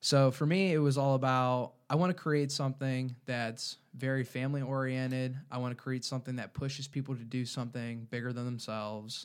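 With a plain, everyday voice, a man of medium pitch talks at a fairly quick pace with hardly any pauses and fairly even intonation, in a very clean recording with a silent background. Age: 20s. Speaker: clothing company founder and college student. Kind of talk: interview.

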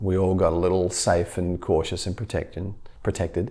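Somewhat breathy, a man talks at a moderate pace in a very deep, low pitch. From Australia. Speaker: physical therapist. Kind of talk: podcast interview.

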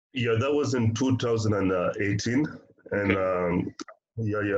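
A man at medium pitch and a very slow pace, with audible room echo. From Africa. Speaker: missionary and podcast co-host. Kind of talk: casual chat.

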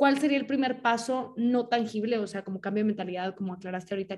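A woman speaks at a medium pitch with an unremarkable speaking voice. Her pace is fairly quick. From Mexico, Monterrey. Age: 20s. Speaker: podcast host, writer and illustrator. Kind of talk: casual chat.

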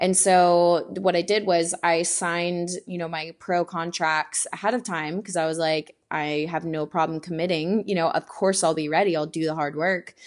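A woman with an American accent speaks at a moderate pace in a fairly low pitch, barely pausing. Her intonation is monotone and flat. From Texas, Houston. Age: 20s. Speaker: fitness YouTuber and bikini competitor. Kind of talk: casual chat.

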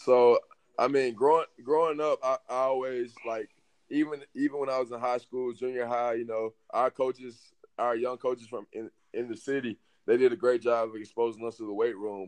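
Fairly even intonation at a moderate pace, in a Southern US accent, with a dry, close sound and no echo. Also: man, medium pitch for a man. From Alabama. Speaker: strength and conditioning coach. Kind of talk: casual interview.

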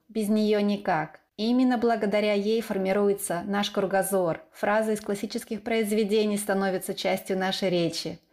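At a moderate pace, a woman with a plain, everyday voice speaks at a medium pitch with fairly even intonation. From eastern Ukraine. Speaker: podcast host. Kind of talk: scripted narration.

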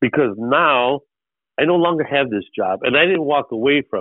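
This man speaks at a moderate pace with an American accent. His fairly high pitch has lively intonation. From Chicago. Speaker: artist and real estate businessman. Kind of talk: interview. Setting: phone call. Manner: halting, many fillers.

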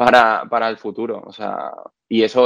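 Heard in a dry, close sound with no echo, a man of medium pitch speaks at a moderate pace. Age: 30s. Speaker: video creator and musician. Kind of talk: casual interview. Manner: hesitant, many fillers.

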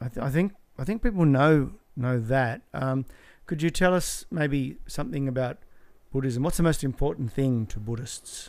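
A man's normal speaking voice, fairly high in pitch, at a moderate pace with ordinary pitch variation, on a very clean recording with a silent background. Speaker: comedy podcast host. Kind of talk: comedy podcast banter with mock game show host patter. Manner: rambling, self-deprecating, jokey.

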